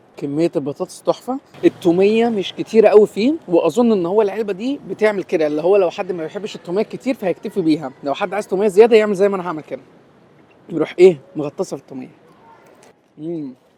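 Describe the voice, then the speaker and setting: The talking comes at a very fast pace with ordinary pitch variation, with a dry, close sound with no echo. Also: man, high pitch for a man. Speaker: food reviewer. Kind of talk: food review vlog. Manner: speaking softly, lowered voice.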